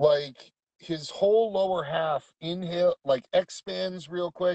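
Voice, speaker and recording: Speaking at a very slow pace, this man has a fairly high pitch and ordinary pitch variation. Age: 30s. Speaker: co-host of live stream. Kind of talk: casual chat. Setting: in a truck on phone.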